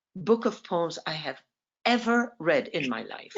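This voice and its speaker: Vocal fry paired with very wide pitch swings. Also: woman. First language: French. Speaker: poet and writing teacher. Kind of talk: interview on a video call. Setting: video call.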